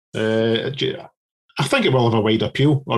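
An ordinary speaking voice: a man at medium pitch with fairly even intonation. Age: 40s. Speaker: podcast co-host. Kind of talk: casual interview.

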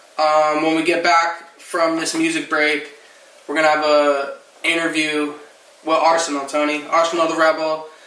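Over noticeable background noise, a man with an American accent speaks in a monotone, flat intonation. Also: fairly high pitch for a man, moderate pace. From New Jersey. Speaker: podcast host. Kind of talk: casual chat about music.

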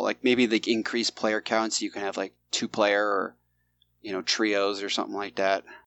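At a fairly quick pace, a man talks in an unremarkable speaking voice. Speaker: podcast co-host. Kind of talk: casual chat, live podcast.

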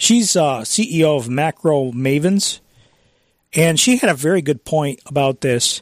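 A man with an unremarkable speaking voice talks at a fairly slow pace with lively intonation and very even loudness, the sound dry and close with no echo. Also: fairly high pitch for a man. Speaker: radio host. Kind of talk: talk radio monologue. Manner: conversational, chuckling.

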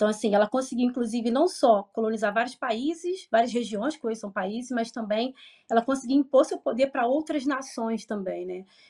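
With a Rio de Janeiro accent, a woman talks at a high pitch and fairly quick pace in a dark, mellow tone with ordinary pitch variation. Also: quiet background. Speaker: history professor. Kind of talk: interview answers.

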